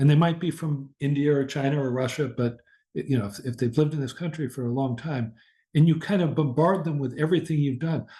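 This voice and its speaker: The tone is dark and mellow. The voice is somewhat breathy. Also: man. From US Midwest. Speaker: professor. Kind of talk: lecture. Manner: slow.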